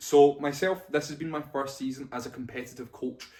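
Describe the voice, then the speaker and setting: Fairly quick in pace, a man speaks with a Scottish accent. His intonation stays fairly even. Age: 20s. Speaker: bodybuilding coach and vlogger. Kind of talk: casual vlog talk to camera. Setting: talking to camera on a tripod.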